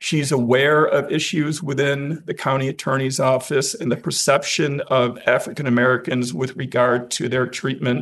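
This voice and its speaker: Over a quiet background, a man with a plain, everyday voice speaks at a fairly slow pace, medium in pitch, his intonation fairly even. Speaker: defense attorney. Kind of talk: oral argument before a court. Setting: courtroom. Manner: formal, measured courtroom oratory.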